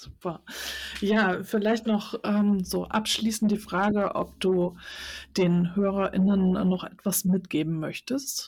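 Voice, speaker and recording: A woman speaks at a very slow pace with a medium pitch and a somewhat breathy voice. Her intonation stays fairly even. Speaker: podcast host. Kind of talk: interview. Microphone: too close to mic, overdriven.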